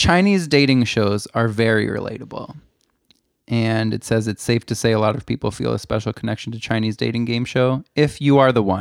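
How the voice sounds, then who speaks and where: A man talks in a normal speaking voice at medium pitch with ordinary pitch variation. His fairly quick delivery comes through on a very clean recording with a silent background. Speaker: podcast co-host. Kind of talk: casual chat.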